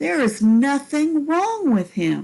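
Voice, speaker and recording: A female-sounding, put-on character voice is set at a high pitch. Its pitch swings very widely. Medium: read story. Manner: dry, brusque.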